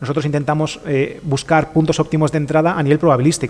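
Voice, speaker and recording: A man at a very fast pace with a fairly high pitch. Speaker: trading streamer. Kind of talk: live stream tutorial.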